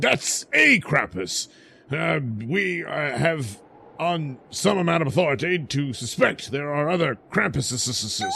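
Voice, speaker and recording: A man performs a put-on character voice at a fairly high pitch. His pace is fairly slow and his intonation lively. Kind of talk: comic overacting. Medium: audio drama. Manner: pompous, officious.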